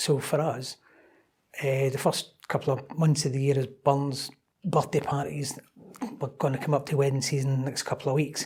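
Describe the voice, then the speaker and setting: In a Scottish accent, a man speaks at a moderate pace with long, frequent pauses. His voice is somewhat breathy and his intonation flat and monotone. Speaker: club operations manager. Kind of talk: interview podcast. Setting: in person at a London members club.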